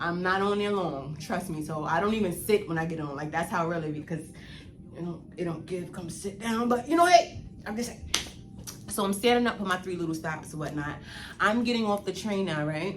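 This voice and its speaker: At a fairly quick pace, a woman of medium pitch talks with ordinary pitch variation, with audible room echo and noticeable background noise. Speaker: YouTuber. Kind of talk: storytime vlog. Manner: animated.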